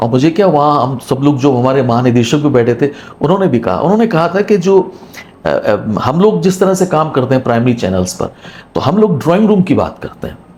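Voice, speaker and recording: A man with a Punjabi accent has a fairly high pitch and very wide pitch swings. Noticeable background noise is present. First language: Punjabi (speaking Hindi). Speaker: retired radio broadcaster. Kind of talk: interview.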